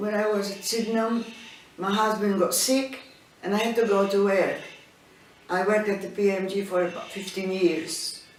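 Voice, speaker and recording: With a Maltese accent, the speaker keeps a fairly even intonation and takes long, frequent pauses, with noticeable background noise and audible room echo. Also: woman, medium pitch for a woman, moderate pace. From Malta. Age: 80s+. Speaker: immigrant interviewee. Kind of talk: life story interview. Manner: halting.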